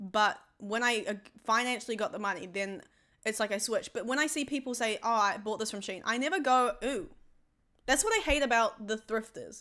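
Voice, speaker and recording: On a very clean recording with a silent background, a woman talks fairly quickly in a fairly high, bright, sharp voice with ordinary pitch variation. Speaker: streamer. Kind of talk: casual chat. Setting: live stream. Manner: fast.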